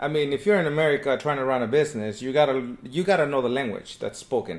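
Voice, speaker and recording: A man with a Spanish accent at a very fast pace. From Mexico. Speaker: painting business owner. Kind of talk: casual chat.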